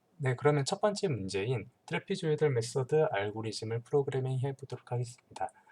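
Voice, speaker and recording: At a moderate pace, a man talks in a somewhat breathy voice, his pitch varying in an ordinary way. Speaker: teaching assistant. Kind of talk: tutorial. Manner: hesitant, many fillers.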